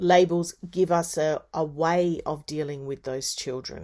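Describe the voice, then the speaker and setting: In a normal speaking voice, a woman talks at a fairly slow pace and fairly low pitch with ordinary pitch variation, on a very clean recording with a silent background. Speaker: university lecturer in early childhood education. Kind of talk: lecture.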